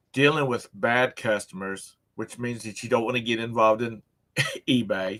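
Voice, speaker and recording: At a moderate pace, a normal speaking voice delivers its words with fairly even intonation. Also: man, medium pitch for a man. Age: 60s. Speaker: livestream show host. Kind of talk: casual chat. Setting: live stream.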